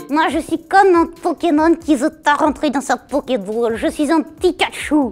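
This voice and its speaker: Doing a put-on character voice at a moderate pace, a woman talks with hardly any pauses while faint music plays in the background. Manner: cheeky, spontaneous.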